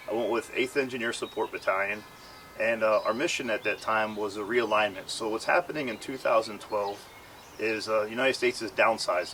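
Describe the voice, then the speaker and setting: Noticeable background noise behind a man talking at a fairly quick pace. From Philadelphia, US. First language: Ukrainian. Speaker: war veteran. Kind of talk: testimony. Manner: halting.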